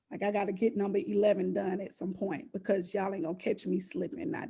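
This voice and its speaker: In a Southern US accent, a woman speaks at a fairly quick pace. Her dark, mellow voice has vocal fry. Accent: Southern US, country. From US South. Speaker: podcast host. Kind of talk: casual interview chat.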